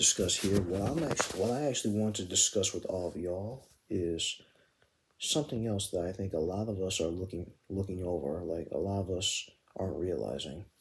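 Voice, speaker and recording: A man's quiet, somewhat breathy whisper at a moderate pace. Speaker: gaming commentary youtuber. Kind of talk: video commentary monologue. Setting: at home at night. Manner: near-whisper, quiet.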